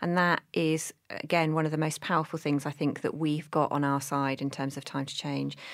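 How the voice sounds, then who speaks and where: Monotone and flat, a woman with a British accent and a very deep, low pitch talks at a moderate pace in a very clean recording with a silent background. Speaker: mental health charity director. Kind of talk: interview chat.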